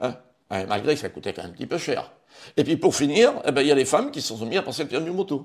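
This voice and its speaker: A man talks very fast in a fairly high voice with vocal fry. His pitch swings very widely and his loudness rises and falls a lot. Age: 70s. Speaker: retired driving instructor. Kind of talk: interview. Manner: halting.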